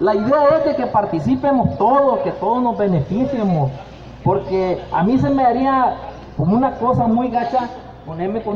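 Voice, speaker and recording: A man's high-pitched voice with lively intonation at a moderate pace, over noticeable background noise. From Nayarit, Mexico. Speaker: shrimp cooperative fisherman presenting a project; presenter. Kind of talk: community meeting presentation. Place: street. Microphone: handheld.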